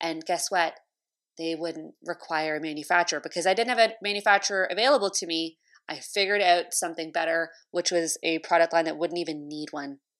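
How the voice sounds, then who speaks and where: A woman speaks with a Canadian accent at a fairly quick pace, her pitch fairly low with ordinary variation. The recording is very clean, with a silent background. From Canada, Toronto. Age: 30s. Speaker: podcast host and entrepreneur coach. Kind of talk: solo podcast monologue.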